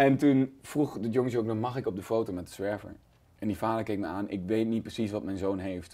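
A man with a fairly low pitch and a dark, mellow tone talks at a fairly quick pace. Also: ordinary pitch variation. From Netherlands, near Nijmegen (Gelderland); Gelderland, Netherlands. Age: 30s. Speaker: comedian. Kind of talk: casual interview. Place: studio. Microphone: lapel.

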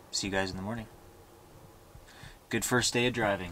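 With light background noise behind him, a man speaks in a bright, sharp tone with ordinary pitch variation. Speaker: travel vlogger. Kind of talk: casual vlog chat. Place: car. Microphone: phone near.

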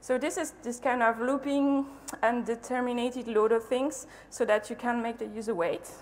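A woman speaks at a moderate pace. Her pitch is high. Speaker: conference speaker. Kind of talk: lecture. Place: hall.

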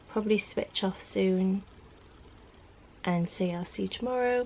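A woman with a somewhat breathy voice, heard over light background noise. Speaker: vlogger. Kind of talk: casual vlog chat. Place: home room. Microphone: phone near.

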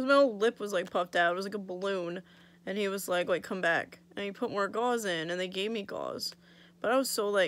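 A woman is speaking. Her pace is fairly quick and her pitch variation ordinary. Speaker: vlogger. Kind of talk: casual vlog chat. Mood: annoyed, wry storytelling. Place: home room. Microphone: phone near.

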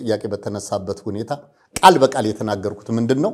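The voice has ordinary pitch variation against a quiet background. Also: man. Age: 60s. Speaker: political commentator. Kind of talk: interview. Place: studio. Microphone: lapel.

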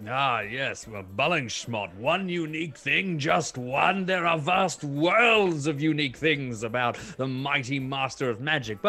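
A man uses a put-on character voice with fairly high pitch. He goes at a fairly slow pace with hardly any pauses. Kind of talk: comic overacting. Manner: pompous, grandiose.

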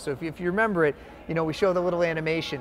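A very fast, high-pitched man's voice with a Boston accent over light background noise. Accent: Boston-area New England. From central Massachusetts (Shrewsbury, near Worcester); Massachusetts. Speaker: film producer; interviewee. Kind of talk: interview. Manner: animated. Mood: animated storytelling, amused. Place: hall. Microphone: lapel.

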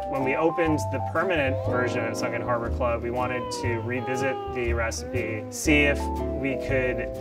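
A man at a moderate pace, loud music playing in the background. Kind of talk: interview answer. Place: bar.

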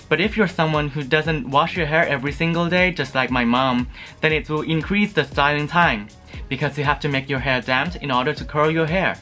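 With faint music in the background, a man talks at a fairly quick pace, his pitch fairly high and its variation ordinary. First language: not English. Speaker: beauty product reviewer. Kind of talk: casual product review to camera. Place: home room.

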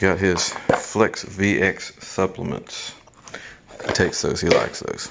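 The speech moves at a fairly slow pace. Loud background noise fills the recording. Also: man. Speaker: dog owner vlogger. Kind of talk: casual vlog chat. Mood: cheerful, playful. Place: home room. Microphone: phone near.

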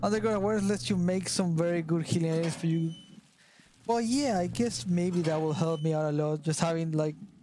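A man with a high pitch talks at a fairly quick pace, his loudness very even and his pitch variation ordinary. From Argentina. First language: Spanish. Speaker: gaming streamer. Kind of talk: casual chat. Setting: live stream collab.

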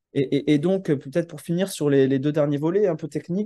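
A man's dark, mellow tone with ordinary pitch variation over a quiet background. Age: 30s. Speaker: landscape architect and urban planner; presenter. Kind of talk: presentation. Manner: halting, many hesitations. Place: home room. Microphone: video call.

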